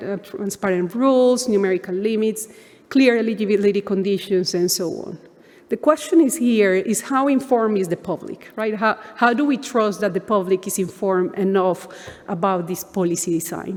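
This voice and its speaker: A woman with a Spanish accent at a medium pitch and a moderate pace, with ordinary pitch variation. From Colombia. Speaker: economics professor. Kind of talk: conference keynote lecture.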